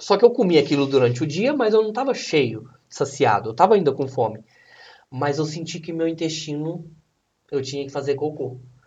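Speaking at a fairly quick pace, a man with a fairly high pitch sounds somewhat breathy and uses lively intonation. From Brazil, São Paulo state near Minas Gerais. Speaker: bodybuilding athlete. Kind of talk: casual chat.

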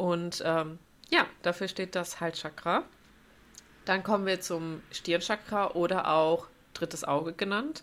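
Very slow and marked by long, frequent pauses, a woman speaks with a fairly low pitch and fairly even intonation. The recording is very clean, its background silent. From Germany, North Rhine-Westphalia. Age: 20s. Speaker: yoga teacher. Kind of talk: casual chat.

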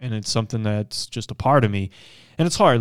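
His pitch varies in an ordinary way. The man talks at a very fast pace. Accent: American. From Missouri (Springfield). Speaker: bodybuilder. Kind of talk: casual chat.

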